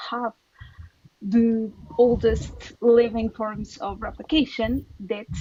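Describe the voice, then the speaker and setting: Her speech carries a non-native accent. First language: not English. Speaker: biologist in debate. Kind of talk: heated debate. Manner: halting, repeats words.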